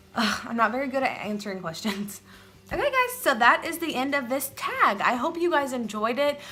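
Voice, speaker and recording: A woman's high-pitched, raised, projected voice with lively intonation at a fairly quick pace, over noticeable background noise. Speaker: mom vlogger. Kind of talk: casual vlog talk to camera. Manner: rambling, hesitant.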